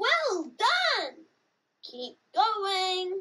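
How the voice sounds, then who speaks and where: In a cartoonish character voice, a man speaks at an extremely high pitch. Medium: puppet. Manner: upbeat, encouraging.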